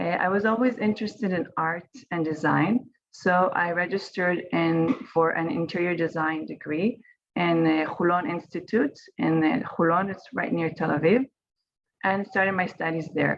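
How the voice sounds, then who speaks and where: A woman with a fairly low pitch speaks at a moderate pace. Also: ordinary pitch variation. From Israel. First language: Hebrew. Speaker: winemaker. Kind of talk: online panel presentation.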